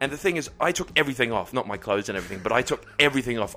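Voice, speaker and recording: Bright and sharp in tone, a man's voice moves with ordinary pitch variation. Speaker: podcast guest. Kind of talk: casual chat. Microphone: very close to the microphone.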